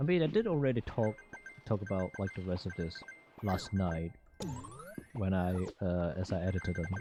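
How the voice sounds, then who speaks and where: Noticeable background noise accompanies speech delivered at a moderate speed. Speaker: game streamer. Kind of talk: casual chat. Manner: slurred speech; halting, many repetitions.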